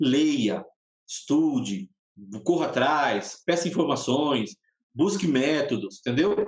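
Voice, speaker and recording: The speaker is a man with a high pitch. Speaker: pastor. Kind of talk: casual chat.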